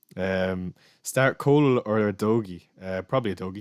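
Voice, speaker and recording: On a very clean recording with a silent background, the sound is dry and close, free of any echo. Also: man. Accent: Irish. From Ireland. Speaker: fantasy football streamer. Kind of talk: live stream Q&A. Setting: live stream. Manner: fast.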